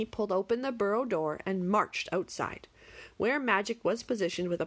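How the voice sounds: Pitch varies in an ordinary way. The delivery is a natural reading voice.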